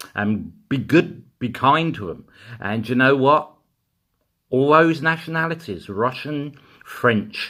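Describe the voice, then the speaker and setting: Speech comes at a very slow pace with a bright, sharp tone and lively intonation. Long pauses occur often, and the recording is very clean with a silent background. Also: man, fairly high pitch for a man. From East End of London. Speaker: political commentator vlogger. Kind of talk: angry political rant. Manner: animated.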